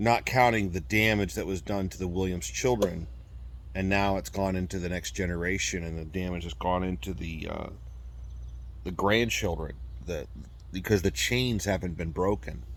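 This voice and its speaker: Vocal fry and lively intonation at a moderate pace. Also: man, very deep, low pitch for a man. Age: 40s. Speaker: abuse survivor and video blogger. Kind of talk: personal testimony monologue. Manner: halting.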